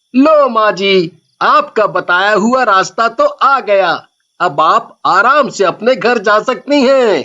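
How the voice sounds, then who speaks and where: A cartoonish character voice pitched fairly high. The lines come out fairly slowly. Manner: polite, respectful.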